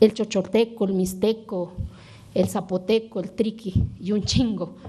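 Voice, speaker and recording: Speaking at a fairly slow pace with an Oaxacan accent, a woman of medium pitch has a somewhat breathy, dark, mellow tone and monotone, flat intonation. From Oaxaca, Mexico (Sierra Sur). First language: Zapotec (speaking Spanish). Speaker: legislator. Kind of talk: parliamentary speech.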